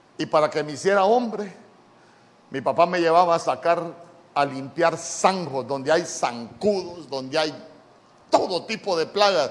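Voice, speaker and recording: A man speaks in a high, animated voice with ordinary pitch variation and long, frequent pauses. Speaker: pastor. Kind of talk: sermon. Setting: church.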